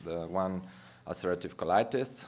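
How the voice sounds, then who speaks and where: With a Romanian accent, a man speaks. His pitch is very deep and low. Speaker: physician. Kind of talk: lecture. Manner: halting.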